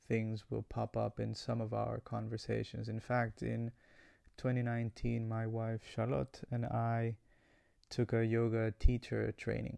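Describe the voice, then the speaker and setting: A man with a Spanish accent at a fairly slow pace, dry and close with no echo. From Ecuador; Guayaquil, Ecuador. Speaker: podcast host. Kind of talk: solo monologue about podcast intentions.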